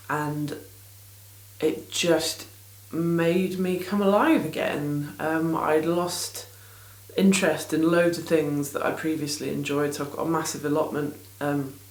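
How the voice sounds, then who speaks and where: A woman's very deep, low pitch at a fairly slow pace, fairly even in intonation, with audible room echo and noticeable background noise. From England. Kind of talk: casual vlog chat. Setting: small home studio in garden. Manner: rambling, hesitant with many ums.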